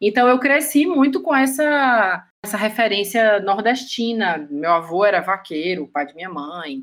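In a Bahian accent, a woman at a medium pitch speaks at a fairly slow pace with hardly any pauses, very wide pitch swings and big swings in loudness. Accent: Bahian Northeastern Brazilian Portuguese. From Bahia, Juazeiro (Brazilian Northeast). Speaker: graphic designer. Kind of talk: casual chat.

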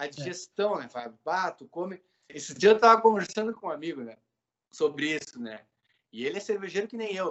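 A high-pitched man's voice with lively intonation, big swings in loudness and a fairly quick pace. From southern Brazil, Pelotas. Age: 40s. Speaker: instrumental musician. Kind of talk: casual chat.

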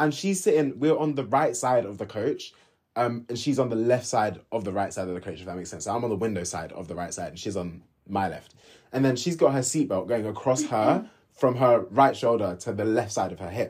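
A man with a London accent speaks fairly quickly at medium pitch, with lively intonation and big swings in loudness. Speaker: podcast host. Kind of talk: casual chat. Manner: fast.

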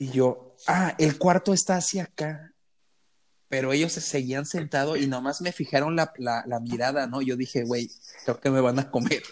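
This man speaks with a Mexican accent and a fairly high pitch. His pace is moderate, with ordinary pitch variation. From Mexico. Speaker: podcast host. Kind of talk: casual chat. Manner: animated.

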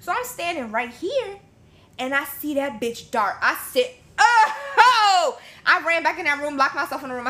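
Raised and projected, a woman's voice moves at a moderate pace with very wide pitch swings. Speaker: podcast guest. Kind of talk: casual chat.

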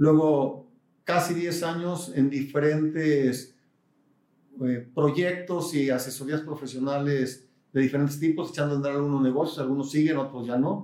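A man's unremarkable speaking voice, pitched fairly high, with fairly even intonation and a moderate pace. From Mexico, Guadalajara. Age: 50s. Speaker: business executive and university board president. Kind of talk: interview.

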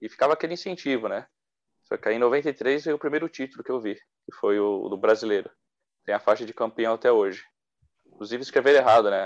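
A man speaks in a normal speaking voice at a medium pitch, with ordinary pitch variation and a fairly quick pace. His loudness swings widely, and the sound is dry and close with no echo against a quiet background. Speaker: football podcast co-host. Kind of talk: casual chat.

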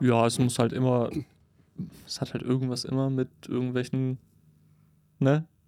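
A man speaks in a flat, monotone intonation, leaving long, frequent pauses. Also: medium pitch for a man, moderate pace. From northern Germany (Cuxhaven). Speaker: podcast co-host. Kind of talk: casual chat. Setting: studio booth.

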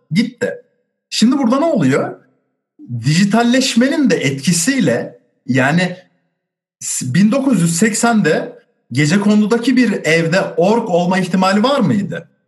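A man's high voice at a very slow pace, with very wide pitch swings and very even loudness. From Turkey, Osmaniye. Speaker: sociology graduate and drummer. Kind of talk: casual discussion.

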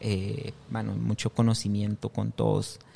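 The voice belongs to a man with a dark, mellow tone. He speaks fairly slowly. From Guatemala, western highlands (Quiché, San Pedro Jocopilas). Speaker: chef and restaurant owner. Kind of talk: casual interview chat. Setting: on location at his restaurant.

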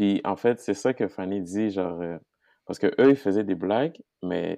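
A man's fairly low voice with a dark, mellow tone, ordinary pitch variation, a fairly slow pace and a quiet background. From Haiti. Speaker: guest. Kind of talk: casual chat.

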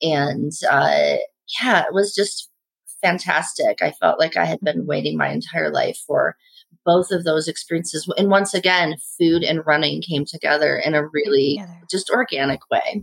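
Here a woman speaks with a Midwestern American accent. Her pace is moderate. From US Midwest (Indiana). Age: 50s. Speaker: chef. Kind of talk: casual chat.

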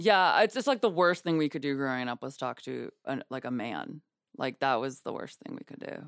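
A woman is heard in a very clean recording with a silent background and a dry, close sound with no echo. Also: moderate pace. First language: Yiddish. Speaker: comedian. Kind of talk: casual chat.

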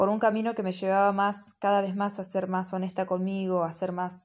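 Her pitch sits in the medium range, and this woman's pace is moderate. Behind her, the background stays quiet. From Argentina, Buenos Aires province. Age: 30s. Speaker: spiritual podcaster. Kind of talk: reflective monologue. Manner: halting, with many fillers.

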